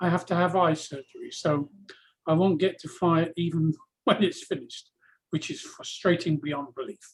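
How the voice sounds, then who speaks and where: With an American accent, a man speaks at a moderate pace in a high pitch. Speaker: aircraft owner and pilot. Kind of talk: casual group video call chat.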